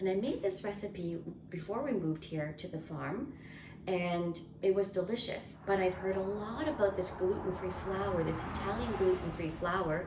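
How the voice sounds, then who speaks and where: A woman speaks quietly at a medium pitch and moderate pace, with ordinary pitch variation. Noticeable background noise and audible room echo are present. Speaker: homesteading cooking vlogger. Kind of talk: casual cooking vlog to camera. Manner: quiet, subdued speaking.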